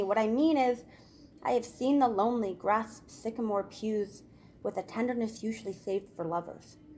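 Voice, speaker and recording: A woman with an unremarkable speaking voice talks at a moderate pace. Her pitch is fairly high and varies in an ordinary way. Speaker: spoken word poet. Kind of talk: poetry reading.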